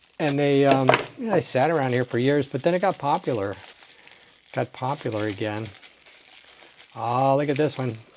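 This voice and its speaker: Noticeable background noise sits under a man's medium-pitched voice, which moves at a moderate pace with ordinary pitch variation and long, frequent pauses. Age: 60s. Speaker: toy car collector. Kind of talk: unboxing video. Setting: home desk. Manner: animated.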